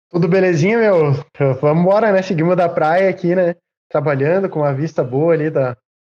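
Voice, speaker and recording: High male pitch with a dark, mellow tone, ordinary pitch variation, very even loudness and a fairly quick pace. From Rio Grande do Sul, Brazil. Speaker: podcast co-host, guitarist. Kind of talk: casual chat.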